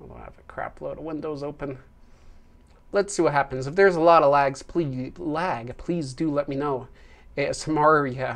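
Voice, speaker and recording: A quiet voice speaks at a moderate pace. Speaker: YouTube channel host. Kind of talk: livestream chat. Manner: projecting louder than usual; quiet by nature.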